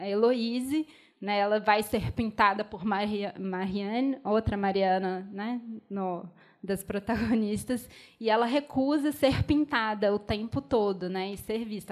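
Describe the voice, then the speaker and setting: Here a woman speaks with a Minas Gerais accent at a fairly slow pace. Her pitch sits fairly high. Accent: Minas Gerais (mineiro) accent, noticeable. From Belo Horizonte, Minas Gerais, Brazil. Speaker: film curator and debate mediator. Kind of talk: panel discussion after film screening. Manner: hesitant, many fillers and restarts.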